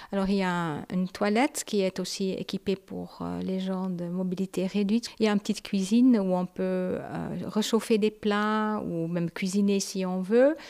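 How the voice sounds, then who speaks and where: Over a very clean, silent background, a woman speaks at a medium pitch with a dark, mellow tone and fairly even intonation, the sound dry and close with no echo. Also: moderate pace. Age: old. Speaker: retired local councillor. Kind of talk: guided tour.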